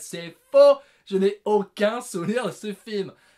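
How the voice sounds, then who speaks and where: A man talks with lively intonation. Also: very clean recording, silent background. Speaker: film reviewer, video creator. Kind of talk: casual monologue, top-list film review. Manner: animated, loud.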